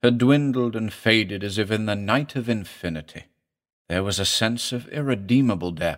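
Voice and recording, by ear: Over a quiet background, a speaker reads aloud in a natural voice with ordinary pitch variation.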